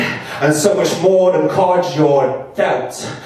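Strong room echo surrounds a man speaking at a very slow pace. His pitch is high for a man, with ordinary variation. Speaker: performance poet. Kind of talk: spoken word poetry performance. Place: bar.

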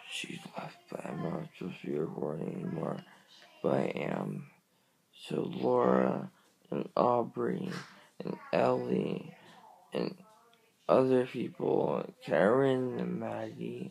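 Long, frequent pauses from a man moving at a very slow pace. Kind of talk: casual vlog chat. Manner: groggy, slurred post-anesthesia speech. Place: home room. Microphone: phone near.

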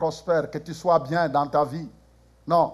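A high-pitched man's voice at a moderate pace. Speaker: preacher. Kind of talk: sermon. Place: church.

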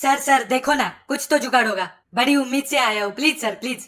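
A female-sounding voice puts on a whiny character voice, pitched high and delivered at a fairly quick pace. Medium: cartoon. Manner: whiny, pleading.

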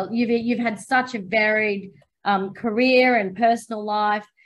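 A woman's voice at a fairly slow pace. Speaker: interviewer. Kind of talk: interview. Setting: video call. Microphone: video call.

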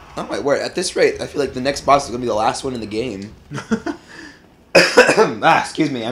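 The speech has long, frequent pauses. Background noise is noticeable throughout. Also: man, moderate pace. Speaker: co-host of gaming video. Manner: casual, joking.

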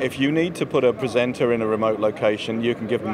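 Against clear background noise, a man talks at a fairly quick pace with a fairly low pitch.

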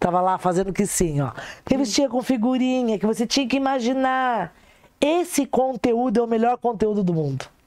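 A woman's dark, mellow voice at a moderate pace, lively in intonation and very even in loudness, against a quiet background. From Brazil. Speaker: sex therapist; guest. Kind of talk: casual chat. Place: studio. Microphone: lapel.

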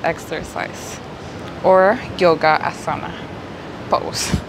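The speaker is a woman. Noticeable background noise is present. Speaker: yoga instructor. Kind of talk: tutorial. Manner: slow. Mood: calm, soothing guidance.

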